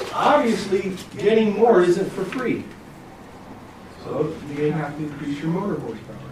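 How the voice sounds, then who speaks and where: Pausing long and often, a man speaks at a high pitch amid noticeable background noise and audible room echo. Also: lively intonation. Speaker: technical trainer. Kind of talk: lecture. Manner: fast.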